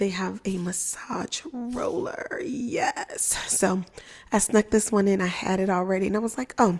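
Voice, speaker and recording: Soft-spoken, a woman talks at a medium pitch. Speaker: physician and lactation content creator. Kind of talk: livestream product demo. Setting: live online stream. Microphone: good microphone, close.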